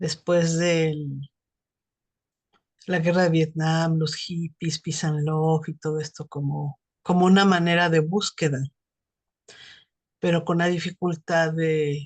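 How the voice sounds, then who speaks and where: Against a quiet background, a woman speaks in a fairly low pitch at a very slow pace, with monotone, flat intonation and long, frequent pauses. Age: 60s. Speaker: psychotherapist. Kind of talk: casual chat.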